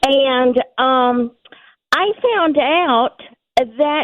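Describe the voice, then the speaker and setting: A woman speaks with a high-pitched voice. Her intonation is lively. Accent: Southern US. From US South, Georgia. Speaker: caller. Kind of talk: call-in question.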